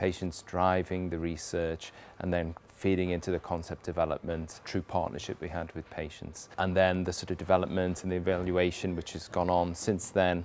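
Light background noise sits under a man whose very deep, low pitch holds a monotone, flat intonation at a moderate pace. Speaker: research professor. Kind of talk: interview answer. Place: factory. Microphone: lapel.

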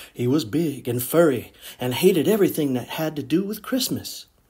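A man with a fairly high pitch and vocal fry, at a moderate pace. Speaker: children's story reader. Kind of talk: read-aloud children's story.

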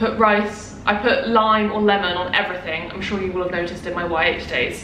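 There is noticeable background noise and audible room echo as a woman talks at a moderate pace with fairly even intonation. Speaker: vlogger. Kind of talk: casual vlog chat. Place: home room. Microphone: camera far.

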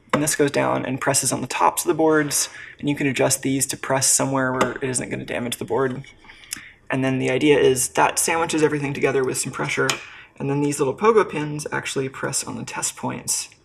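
A fairly quick pace, with noticeable background noise. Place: workshop.

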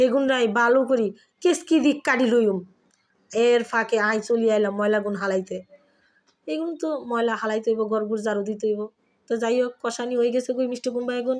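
Against a quiet background, a woman with a plain, everyday voice speaks at a fairly high pitch with fairly even intonation. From Bangladesh, Dhaka (family from Feni). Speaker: cooking vlogger. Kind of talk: cooking tutorial.

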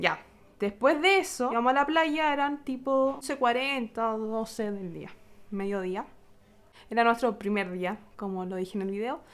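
The speaker has a Chilean accent and lively intonation. The delivery moves at a fairly slow pace. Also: woman, fairly high pitch for a woman, big swings in loudness. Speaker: vlogger. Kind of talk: vlog storytelling. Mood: upset, telling bad experience. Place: home room. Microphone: phone near.

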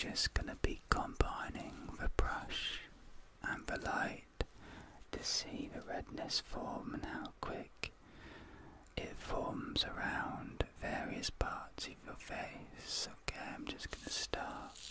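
A soft-spoken man talks at a very slow pace over loud background noise. The sound is dry, with no echo. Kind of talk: soft-spoken roleplay. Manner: soft, hushed ASMR murmur. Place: home room.

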